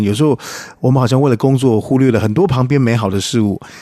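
His voice has a dark, mellow tone, medium pitch and ordinary pitch variation, coming from a man. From Taiwan. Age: 50s. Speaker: singer-songwriter. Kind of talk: interview.

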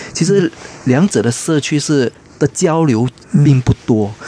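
Speaking at a very slow pace, a man with a fairly high pitch uses lively intonation, with a dry, close sound with no echo and noticeable background noise. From Malaysia. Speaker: theatre scholar. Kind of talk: radio interview.

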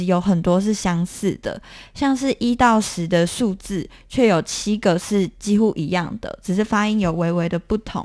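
Over a very clean recording with a silent background, a woman in a normal speaking voice talks at a fairly slow pace, at a medium pitch with ordinary pitch variation. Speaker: documentary filmmaker. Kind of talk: interview.

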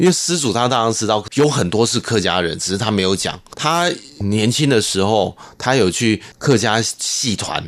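The speaker uses lively intonation at a moderate pace in a Hakka accent. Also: man, medium pitch for a man. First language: Hakka (speaking Chinese). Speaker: glove puppetry troupe director. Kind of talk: interview.

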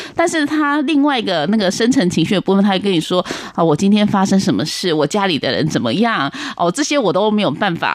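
Very fast in pace, a woman speaks at a medium pitch with very wide pitch swings. Her loudness stays very even. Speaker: Chinese medicine practitioner. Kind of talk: interview. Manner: hesitant, many fillers.

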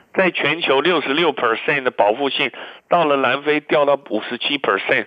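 A man's voice, moderately paced, its pitch varying in an ordinary way. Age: 60s. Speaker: physician and immunology expert. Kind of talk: radio interview. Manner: many fillers and hesitations.

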